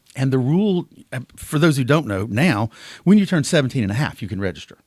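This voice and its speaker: In an Alabama accent, a man at medium pitch races along very fast with very wide pitch swings, captured on a very clean recording with a silent background. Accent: Southern US (Alabama). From US South, southwest Alabama (Clarke County). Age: 60s. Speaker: political candidate. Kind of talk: interview. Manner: animated.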